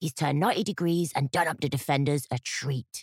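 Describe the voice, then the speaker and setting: A growling put-on character voice from a man, fairly high-pitched, with very even loudness and a dry, close sound free of echo. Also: moderate pace. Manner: enthusiastic, sports commentary.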